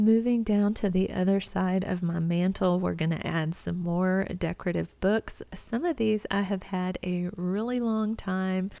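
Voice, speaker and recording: With a Texas accent, a woman speaks in a dark, mellow tone at medium pitch, with ordinary pitch variation, a fairly slow pace and hardly any pauses. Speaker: home decor vlogger. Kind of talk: tutorial voiceover narration. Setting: at home.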